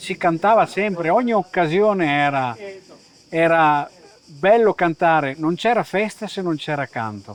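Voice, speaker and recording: The speech moves at a fairly slow pace. Its intonation is lively. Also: man, high pitch for a man. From Caneva, Friuli (Veneto border). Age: 60s. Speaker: folk singer. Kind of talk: interview.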